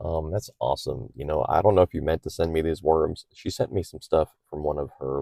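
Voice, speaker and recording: A man mumbles at a moderate pace with vocal fry. His very deep, low pitch has a dark, mellow tone. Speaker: aquarium hobbyist YouTuber. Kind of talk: casual tutorial. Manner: slight mumbling; hesitant, many fillers.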